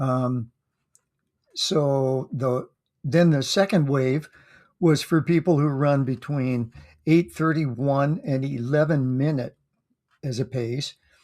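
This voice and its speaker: A man speaks at a very slow pace with long, frequent pauses. His pitch is fairly high, and his intonation is fairly even. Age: 70s. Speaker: amateur runner vlogger. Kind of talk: casual monologue recap. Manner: halting, many fillers.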